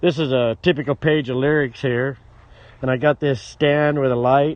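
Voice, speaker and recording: A man talks at a moderate pace with fairly even intonation, and the sound is dry with no echo. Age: 60s. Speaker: musician. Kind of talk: casual chat. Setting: outdoors. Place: open country. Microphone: phone near.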